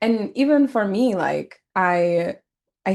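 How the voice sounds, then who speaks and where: Against a quiet background, a woman with an unremarkable speaking voice talks at a medium pitch with lively intonation. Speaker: podcast host. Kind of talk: casual chat.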